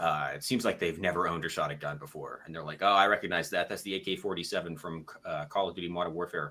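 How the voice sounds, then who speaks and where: A man mumbles at a very fast pace with hardly any pauses. His very deep, low voice has a bright, sharp tone and ordinary pitch variation. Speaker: gun YouTuber. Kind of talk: casual chat. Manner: mumbling. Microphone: a bit quiet.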